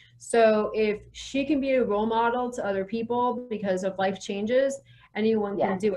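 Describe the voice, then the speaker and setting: A woman's normal speaking voice, fairly high-pitched, with a fairly even intonation, a moderate pace and an American accent. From US South. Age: 40s. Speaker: real estate professional and educator. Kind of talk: interview.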